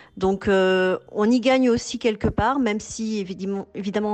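A woman with a medium pitch and ordinary pitch variation speaks at a fairly slow pace while music plays in the background. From Toulouse, southern France. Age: 40s. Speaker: expatriate mother. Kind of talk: testimony.

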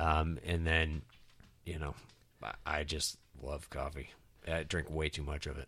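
A man talks fairly slowly in a very deep, low voice with a bright, sharp tone and vocal fry. His intonation is flat and monotone, broken by long, frequent pauses. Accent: American. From US (Tennessee, Nebraska, Nevada, Texas). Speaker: podcast guest and co-host. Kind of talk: casual chat. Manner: halting, many fillers.

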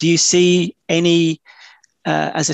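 A man with a British accent, recorded with a dry, close sound and no echo. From UK. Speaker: academic podcast host. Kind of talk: academic interview. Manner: halting.

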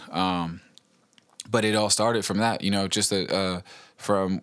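Speaking at a fairly quick pace, a man with a fairly low pitch comes through in a very clean recording with a silent background. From Virginia, Richmond area (Henrico East End). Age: 30s. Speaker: podcast host, rapper. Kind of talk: casual monologue. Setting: home recording. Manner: animated.

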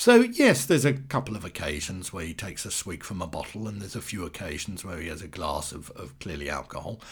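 A man talks with vocal fry and very wide pitch swings. The recording is very clean, with a silent background. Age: 60s. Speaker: film reviewer podcaster. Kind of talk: monologue review. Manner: hesitant, many fillers.

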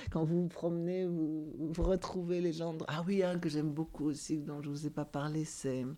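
At a moderate pace, a woman talks in a very deep, low pitch with monotone, flat intonation. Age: 70s. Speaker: building caretaker. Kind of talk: casual chat. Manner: halting.

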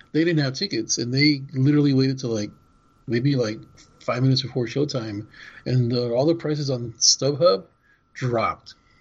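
Somewhat breathy, a man speaks at a fairly quick pace with a medium pitch and ordinary pitch variation. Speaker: podcast co-host. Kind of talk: casual podcast chat, show recap.

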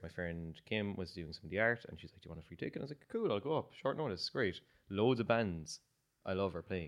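A man speaks with an Irish accent. His very deep, low pitch shows ordinary pitch variation. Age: 30s. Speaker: musician. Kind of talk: casual chat.

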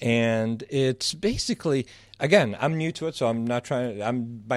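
With an American accent, a man talks at a moderate pace in a medium pitch with ordinary pitch variation. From Southeast Michigan. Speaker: photographer. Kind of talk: interview. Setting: radio studio.

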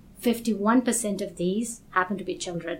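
A woman speaks in a somewhat breathy voice. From Kenya. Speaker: global health expert. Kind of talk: interview.

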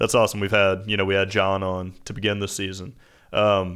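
At a fairly quick pace, the clip presents an unremarkable speaking voice. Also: man. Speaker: podcast co-host. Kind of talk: casual interview.

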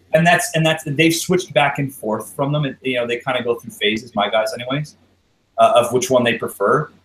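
A man with a Canadian accent talks at a fairly quick pace in an unremarkable speaking voice, his pitch fairly high with ordinary variation. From Canada. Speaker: airsoft milsim player. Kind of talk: casual chat.

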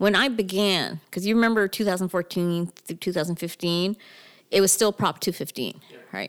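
On a very clean recording with a silent background and a dry, close sound with no echo, a woman speaks in a plain, everyday voice at a moderate pace with ordinary pitch variation. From Canada, Toronto area (Mississauga). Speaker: cannabis business consultant. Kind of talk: casual interview.

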